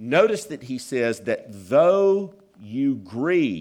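Audible room echo surrounds a man speaking in a Southern US accent. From US South, South Carolina. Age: 50s. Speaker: pastor. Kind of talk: sermon.

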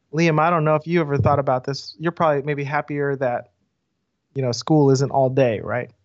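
A man's normal speaking voice in an American accent, fairly high in pitch, fairly quick, with fairly even intonation. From US South. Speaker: pastor. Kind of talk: casual interview conversation.

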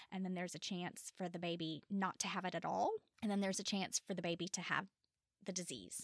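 Very fast and monotone, a woman in a Tennessee accent speaks at medium pitch, the sound dry and close with no echo. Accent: Southern US (Tennessee). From US South, Memphis, Tennessee. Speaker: bereaved mother. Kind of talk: interview testimony. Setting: studio.

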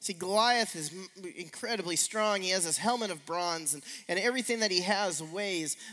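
An unforced reading voice carries ordinary pitch variation from line to line.

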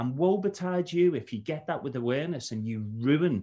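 A man speaks with a Liverpool accent and lively intonation. The background is quiet. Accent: Scouse (Liverpool). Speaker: cybersecurity trainer. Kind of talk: casual chat. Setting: video call.

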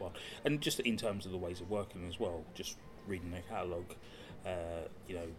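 A man with a very deep, low pitch and a somewhat breathy voice talks at a fairly quick pace, with ordinary pitch variation. Long, frequent pauses break up his speech, and room echo is audible. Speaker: podcast co-host. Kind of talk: casual chat. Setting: coffee shop in a gallery. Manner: soft-spoken.

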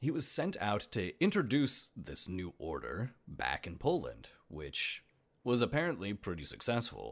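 A man with vocal fry speaks at a fairly slow pace, his pitch swinging very widely. The recording is very clean, with a silent background. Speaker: podcast host. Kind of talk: scripted-style solo podcast narration, casual. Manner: casual, humorous, chatty.

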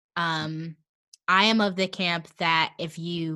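A woman with an American accent speaks at a fairly low pitch in a bright, sharp tone, her intonation monotone and flat. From Kansas City area, US Midwest. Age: 20s. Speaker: actor. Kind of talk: casual chat. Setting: video call from home basement.

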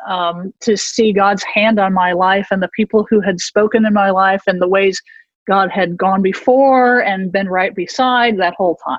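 A woman speaks at a moderate pace in a normal speaking voice. Her pitch sits in the medium range, with fairly even intonation. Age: 50s. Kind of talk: interview.

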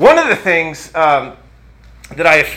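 A man speaks at a fairly slow pace with a high pitch. Noticeable background noise runs under his voice. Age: 50s. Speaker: pastor. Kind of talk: sermon. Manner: halting.

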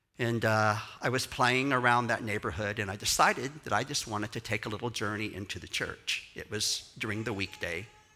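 In a Texan accent, a man with a bright, sharp tone talks animatedly at a moderate pace and fairly low pitch. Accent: Texan Southern US. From Texas. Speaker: pastor and choreographer. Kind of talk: sermon. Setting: church with audience.

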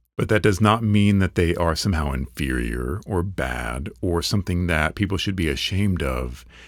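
With vocal fry and a very deep, low pitch, a man talks at a moderate pace. His intonation is lively, and the recording is very clean, with a silent background. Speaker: podcast host. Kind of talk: solo podcast monologue.

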